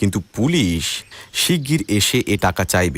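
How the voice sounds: Natural reading voice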